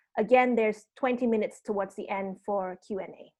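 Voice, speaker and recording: A woman talks at a fairly quick pace and a fairly high pitch, with ordinary pitch variation. The background is quiet. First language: Indonesian. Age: 30s. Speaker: arts program producer and session host. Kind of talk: online panel introduction and housekeeping. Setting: video call.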